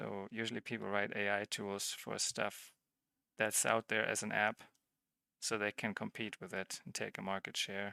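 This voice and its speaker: With a non-native accent, a man speaks at a moderate pace in a monotone, flat intonation and a bright, sharp tone, in a very clean recording with a silent background and a dry, close sound with no echo. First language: not English. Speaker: livestreamer / tech hobbyist. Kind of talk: live-streamed tutorial. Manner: halting, with repeated false starts; casual, conversational.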